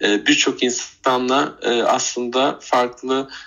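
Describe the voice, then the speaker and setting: A man with a medium pitch. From Turkey, Bursa. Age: 30s. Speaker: retail worker and animal rescuer. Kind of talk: interview. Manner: halting, many fillers.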